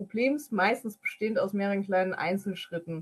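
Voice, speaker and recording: A somewhat breathy woman talks with ordinary pitch variation. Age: 20s. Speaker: IT security specialist and powerlifter. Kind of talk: explanatory interview.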